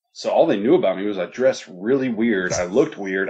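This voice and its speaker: The voice has an American accent and ordinary pitch variation. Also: man. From US South, Dublin, Georgia. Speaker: competitive gamer. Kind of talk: interview. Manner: halting, many repeated words; casual, animated.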